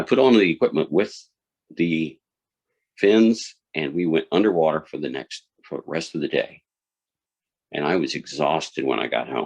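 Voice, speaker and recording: With vocal fry and lively intonation, the speaker goes at a moderate pace broken by long, frequent pauses. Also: man, very deep, low pitch for a man. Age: 60s. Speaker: speech contest contestant. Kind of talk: contest speech.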